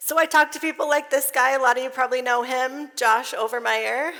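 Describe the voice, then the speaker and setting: A woman's raised, projected voice, high-pitched, bright and sharp, with lively intonation. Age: 30s. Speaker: conference speaker, financial coach. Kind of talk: conference talk. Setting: stage with audience.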